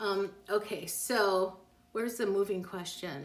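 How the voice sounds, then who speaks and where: A woman speaks at a medium pitch. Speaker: psychic. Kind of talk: live stream reading answering viewer questions. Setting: Instagram live stream. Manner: fast; animated.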